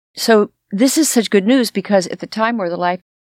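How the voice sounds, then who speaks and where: In a very clean recording with a silent background, a woman speaks at a moderate pace with an American accent. She has a plain, everyday voice and ordinary pitch variation. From US West Coast, Los Angeles. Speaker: podcast co-host. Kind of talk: casual chat.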